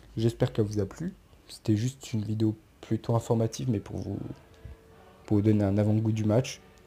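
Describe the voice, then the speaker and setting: Over music in the background, a man speaks at a moderate pace in a fairly low pitch. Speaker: football YouTuber. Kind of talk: casual commentary video. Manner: stammering.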